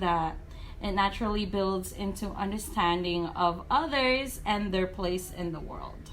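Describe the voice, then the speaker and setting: A woman speaks at a fairly slow pace with ordinary pitch variation. Room echo is audible. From moved to Guam at age nine. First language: not English (English is third language). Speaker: first grade teacher. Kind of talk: interview.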